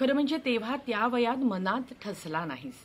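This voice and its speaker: A woman with a fairly high pitch and a somewhat breathy voice speaks with very wide pitch swings. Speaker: actress. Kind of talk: dramatised reading of own short story. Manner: reflective, nostalgic.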